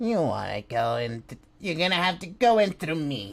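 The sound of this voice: A man puts on a character voice, fairly high-pitched and raised to project. His pitch swings very widely while he keeps a moderate pace.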